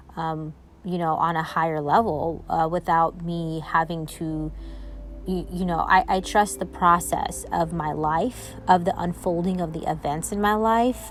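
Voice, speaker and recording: A woman speaking at a fairly slow pace over music in the background. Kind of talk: personal voice memo, spiritual reflection. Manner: hesitant, with pauses and stumbles.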